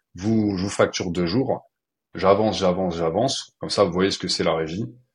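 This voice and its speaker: Over a quiet background, a man with a very deep, low pitch speaks at a fairly quick pace with ordinary pitch variation. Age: 30s. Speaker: freelancer and trainer. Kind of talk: casual interview.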